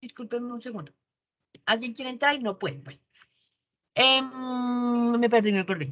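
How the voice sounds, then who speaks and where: Speaking at a fairly quick pace, a woman with a high pitch uses ordinary pitch variation. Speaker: university teacher. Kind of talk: online lecture. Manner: fast; animated.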